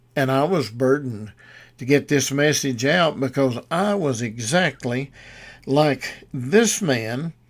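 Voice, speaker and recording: Recorded very cleanly against a silent background, a man speaks at a very slow pace. His voice sits fairly high, with ordinary pitch variation. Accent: Southern US. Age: 80s+. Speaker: radio preacher. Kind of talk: sermon. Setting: studio. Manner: halting.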